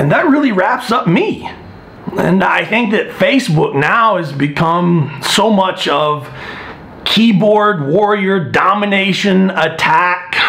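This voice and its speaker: Keeping his loudness very even, a man with a high pitch talks at a very slow pace amid audible room echo and noticeable background noise. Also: lively intonation. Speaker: strength coach vlogger. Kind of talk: casual vlog monologue. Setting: gym. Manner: soft-spoken.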